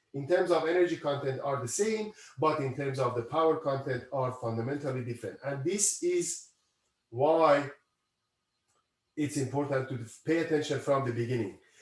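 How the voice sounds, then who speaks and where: A man's somewhat breathy, fairly high voice at a moderate pace, with ordinary pitch variation and long, frequent pauses. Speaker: university professor. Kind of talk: lecture.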